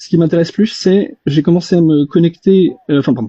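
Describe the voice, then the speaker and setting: A man talks at a fairly quick pace with a dark, mellow tone and ordinary pitch variation. The sound is dry and close, with no echo. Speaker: reverse engineer, self-taught tinkerer. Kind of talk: casual discussion in live audio chat. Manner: fast; hesitant, many fillers.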